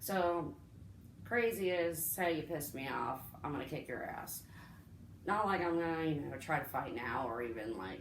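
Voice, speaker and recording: With audible room echo, a woman speaks at a moderate pace and a very deep, low pitch, leaving long, frequent pauses. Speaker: vlogger sharing personal story. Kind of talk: casual storytime monologue. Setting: home recording with friend present. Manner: rambling, halting.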